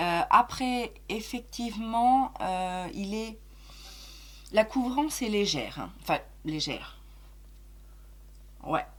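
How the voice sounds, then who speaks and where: A woman's fairly high, somewhat breathy voice, very slow with long, frequent pauses, very wide pitch swings and big shifts in loudness. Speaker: beauty youtuber. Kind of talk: casual chat. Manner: hesitant, many fillers.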